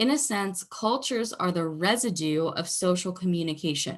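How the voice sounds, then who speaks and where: A woman talks in a normal speaking voice at medium pitch and a moderate pace. Her intonation is lively against a quiet background. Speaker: university lecturer. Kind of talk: recorded lecture.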